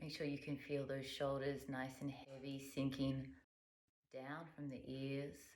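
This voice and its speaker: Very deep and low, a woman's voice moves at a fairly slow pace in a calm, soothing tone with monotone, flat intonation. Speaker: yoga instructor. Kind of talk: guided yoga class instruction.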